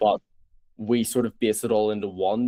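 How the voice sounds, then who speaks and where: A man with a Northern Irish accent, fairly low-pitched, with a dark, mellow tone. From Northern Ireland. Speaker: startup founder. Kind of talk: interview pitch.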